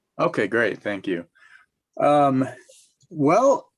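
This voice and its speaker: This man has an ordinary speaking voice with a General American accent and medium pitch. He talks at a moderate pace with lively intonation. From US, Denver Colorado. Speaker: musician. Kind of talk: interview.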